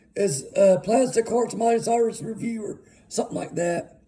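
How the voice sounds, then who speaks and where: Pitched high, a man with an Arkansas accent talks at a fairly slow pace with ordinary pitch variation. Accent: US Southern (Arkansas). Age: 30s. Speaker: music vlogger. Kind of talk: casual monologue. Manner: rambling, filler-heavy.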